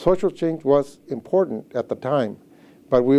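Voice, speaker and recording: Fairly high-pitched for a man, this speaker has a dark, mellow tone and lively intonation at a moderate pace. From Washington State, US (Mexican-American family). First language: Spanish. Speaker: health center executive director. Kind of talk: interview testimony. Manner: hesitant, many fillers.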